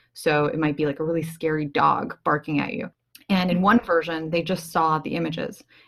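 Her pitch is fairly low, and this woman speaks at a moderate pace. Her pitch variation is ordinary. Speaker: podcast co-host, psychology researcher.

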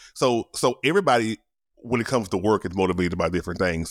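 A man speaks at a fairly quick pace. The sound is dry and close, with no echo. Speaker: podcaster and producer. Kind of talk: casual chat. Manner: casual, slangy.

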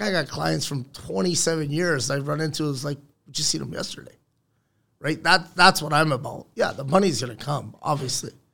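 With vocal fry and a bright, sharp tone, a man speaks at a fairly quick pace in a fairly high pitch with ordinary pitch variation. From Newfoundland, Canada. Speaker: construction business owner. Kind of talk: casual chat. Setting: studio. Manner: animated.

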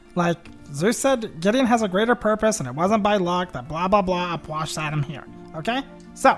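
Set against clear background music, a put-on character voice speaks at a moderate pace and a middle pitch. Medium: actual play. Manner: casual, rambling, filler-heavy.

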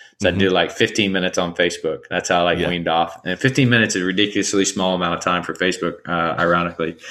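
With an Alabama accent, a man talks at a very fast pace with hardly any pauses, his pitch very deep and low and his intonation fairly even, on a very clean recording with a silent background. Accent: Southern US (Alabama). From US South, rural Alabama. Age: 30s. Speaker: nonprofit CEO. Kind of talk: interview.

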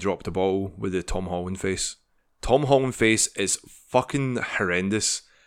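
With a Scottish accent and ordinary pitch variation, this voice comes through on a very clean recording against a silent background. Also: man. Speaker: podcast co-host. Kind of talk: casual chat.

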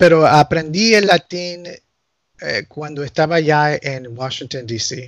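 Speaking at a very slow pace with an English accent, a man uses a fairly high pitch with ordinary variation and big swings in loudness. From US, Nicaraguan family. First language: English (speaking Spanish). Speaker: canon lawyer. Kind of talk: casual interview chat.

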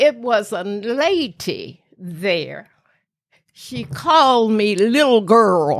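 In a Southern US accent, a woman talks at a very slow pace, her fairly high voice making very wide pitch swings. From US South, rural Tennessee. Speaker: grandmother telling her life story. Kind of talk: storytelling interview.

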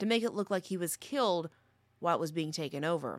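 In a very clean recording with a silent background, a woman speaks in a dramatic tone at a fairly low pitch. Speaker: news commentator. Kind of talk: history documentary narration. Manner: measured, storyteller-like, dramatic and steady.

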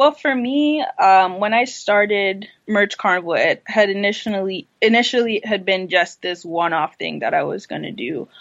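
A woman with an American accent uses a normal speaking voice at medium pitch and a moderate pace. Her intonation is lively, with hardly any pauses. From US Virgin Islands, St. Croix. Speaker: online shop founder. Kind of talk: interview.

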